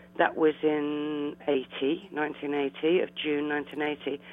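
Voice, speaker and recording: There is noticeable background noise as a woman speaks in a southern English accent. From London (Eltham), England. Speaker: café owner. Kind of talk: interview. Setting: phone call. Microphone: landline telephone.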